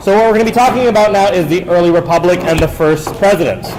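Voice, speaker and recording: A man talks at a high pitch with lively intonation. Noticeable background noise and audible room echo surround his voice. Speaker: high school history teacher. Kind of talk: lecture. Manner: fast; frequent filler words.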